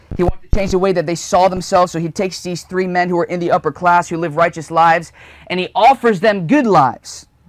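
This man talks at a very fast pace in a high pitch. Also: ordinary pitch variation. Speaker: young evangelist, preacher. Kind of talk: sermon preached to a live congregation. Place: home room. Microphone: lapel.

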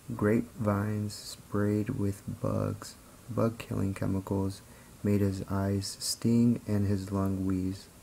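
Here a man speaks very slowly in a monotone, flat intonation. His voice is fairly low in pitch with a dark, mellow tone. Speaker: video creator reading a book aloud. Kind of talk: read-aloud of a children's picture book. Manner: steady, storyteller-like narration.

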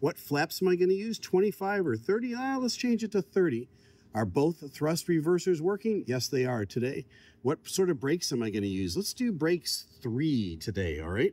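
A man speaks at a moderate pace with a dark, mellow tone. His pitch swings very widely. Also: dry sound with no echo. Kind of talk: tutorial. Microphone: phone near.

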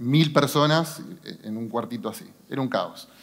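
A man is speaking against a quiet background. His pitch varies in an ordinary way. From Argentina, San Nicolás (Buenos Aires province); Buenos Aires province, Argentina. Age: 40s. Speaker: business executive; speaker. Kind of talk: motivational talk. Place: stage. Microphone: headset.

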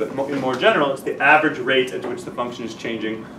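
A man with an American accent talks at a fairly quick pace. His intonation is lively, and there is noticeable background noise. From New Jersey. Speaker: math teacher. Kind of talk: lecture. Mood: relaxed, chatty anecdote. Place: classroom.

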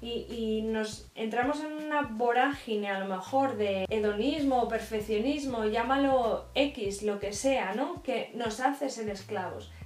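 With audible room echo around her, a woman with a fairly high pitch and ordinary pitch variation speaks very slowly with hardly any pauses. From Spain. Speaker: YouTuber; vlogger. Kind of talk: faith vlog monologue. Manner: hesitant with repetitions. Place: home room. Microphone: camera far.

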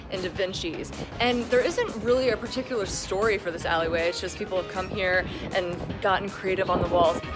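Clear music sounds in the background. Over it, a woman speaks fairly quickly. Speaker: digital news reporter. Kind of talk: casual vlog chat. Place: street. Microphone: phone near.

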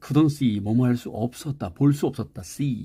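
A man's somewhat breathy voice at a very slow pace, on a very clean recording with a silent background. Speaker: English teacher. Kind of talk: lecture.

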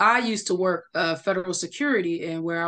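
A woman with a plain, everyday voice and an American accent, fairly low in pitch, at a moderate pace against a quiet background. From Chicago. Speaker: cybersecurity engineer; cybersecurity trainer, guest. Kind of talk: interview. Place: home room. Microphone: video call.

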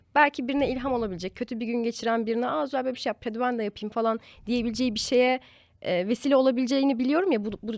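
A woman's fairly high voice at a very fast pace, dry and close with no echo, in a very clean recording with a silent background. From Turkey, Eskişehir. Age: 20s. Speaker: lifestyle content creator. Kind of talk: casual chat.

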